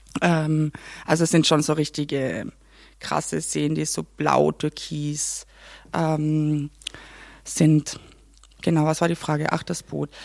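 Speaking fairly slowly in a Carinthian accent, a woman has a very deep, low pitch. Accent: Carinthian Austrian German. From Austria, Carinthia (Klagenfurt). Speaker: assistant theatre director. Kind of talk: casual chat. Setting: theatre canteen.

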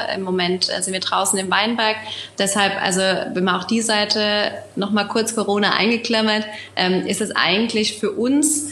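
A woman is speaking with an audible echo from the room. Noticeable background noise sits behind her. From Germany, Rheinhessen. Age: 20s. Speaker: winemaker. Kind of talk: casual interview. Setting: video call from home.

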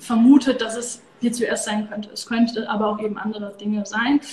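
A woman speaks in a monotone, flat intonation. Noticeable background noise runs behind her. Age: 30s. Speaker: Ayurveda coach and yoga teacher. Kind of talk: interview.

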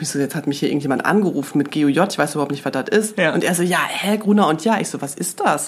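Over noticeable background noise, a woman with a very deep, low pitch talks at a very fast pace with hardly any pauses and ordinary pitch variation. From Germany, Münster. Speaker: magazine executive. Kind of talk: casual interview.

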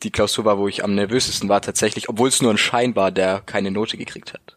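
A fairly low-pitched man at a fairly quick pace with monotone, flat intonation. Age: 20s. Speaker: university student, student podcaster. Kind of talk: casual interview.

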